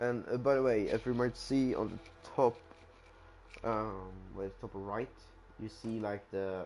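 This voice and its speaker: With a Swedish accent, a man speaks at a fairly low pitch and fairly even intonation while music plays in the background. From Sweden. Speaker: gamer streamer. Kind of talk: gameplay commentary. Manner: halting, many fillers and restarts.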